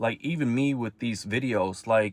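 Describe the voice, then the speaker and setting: Speaking fairly slowly with a non-native accent, a man keeps a medium pitch with ordinary variation. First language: not English. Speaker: self-improvement vlogger. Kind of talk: personal vlog monologue. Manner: halting.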